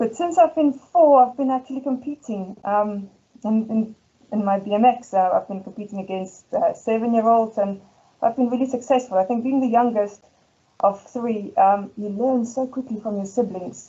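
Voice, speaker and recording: A woman's fairly high voice at a moderate pace, with ordinary pitch variation. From South Africa, Ermelo (Afrikaans community). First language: Afrikaans. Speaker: school head teacher. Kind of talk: presentation. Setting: presentation event. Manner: hesitant, many fillers.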